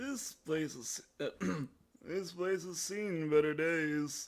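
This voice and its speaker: A man uses a put-on character voice, high-pitched and strained. He talks at a very slow pace. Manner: strained, put on.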